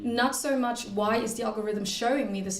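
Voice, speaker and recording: In a German accent, a woman talks at a fairly quick pace. Audible room echo and noticeable background noise are present. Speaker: master's student and researcher, panelist. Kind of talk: conference panel answer.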